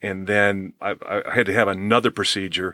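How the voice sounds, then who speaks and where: A man's bright, sharp tone, dry and close with no echo, on a very clean recording with a silent background. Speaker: former hockey player turned pastor. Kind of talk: casual interview chat. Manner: animated, casual.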